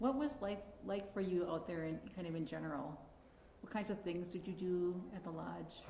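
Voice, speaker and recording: This woman has a fairly low pitch and an ordinary speaking voice, moving at a moderate pace with ordinary pitch variation. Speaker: oral history interviewer. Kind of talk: interview questions.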